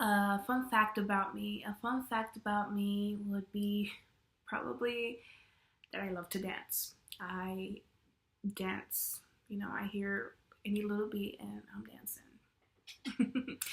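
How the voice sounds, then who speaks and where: Woman at medium pitch with fairly even intonation and a very slow pace. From Mexican-American, US. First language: Spanish. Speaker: education student. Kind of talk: class video presentation.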